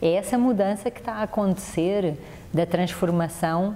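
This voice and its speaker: With a European Portuguese accent, a woman speaks at a fairly slow pace and ordinary pitch variation against noticeable background noise. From Portugal. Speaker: mediation specialist. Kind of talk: TV interview.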